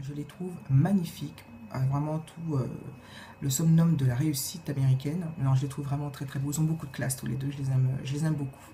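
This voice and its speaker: Speaking at a fairly quick pace, a woman with a very deep, low voice keeps her intonation fairly even amid audible room echo. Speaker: video blogger. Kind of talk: casual vlog Q&A tag. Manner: hesitant, many filler sounds.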